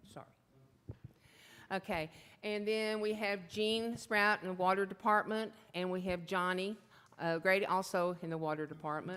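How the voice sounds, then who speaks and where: A woman with a Texan accent talks at a moderate pace, with long, frequent pauses. Her medium pitch has fairly even intonation. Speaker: mayor chairing city council meeting. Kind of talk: public meeting chairing. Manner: loud. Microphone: keeps mic away, may sound quiet.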